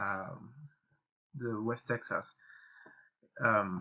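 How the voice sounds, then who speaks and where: A man with a Spanish accent and a bright, sharp tone speaks at a very slow pace. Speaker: trading YouTuber. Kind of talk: tutorial. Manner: halting, many fillers and repetitions.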